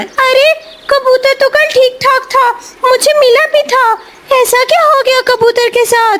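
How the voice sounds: In a cartoonish character voice with an extremely high pitch, a woman speaks at a moderate pace over light background noise.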